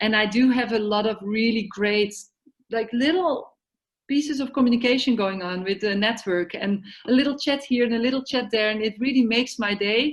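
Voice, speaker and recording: Speaking with a non-native accent, a woman talks at a moderate pace in a fairly high pitch with ordinary pitch variation. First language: not English. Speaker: yoga therapy network organizer. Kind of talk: online meeting discussion. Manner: halting.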